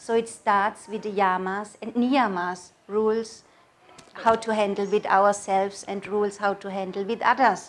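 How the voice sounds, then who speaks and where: A woman with a German accent talks at a moderate pace and medium pitch, her intonation flat and monotone. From Germany. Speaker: yoga teacher. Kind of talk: interview monologue. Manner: halting.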